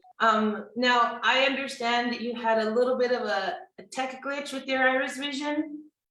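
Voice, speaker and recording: A woman's ordinary speaking voice, fairly high-pitched, with ordinary pitch variation. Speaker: host of a company video series. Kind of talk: interview host.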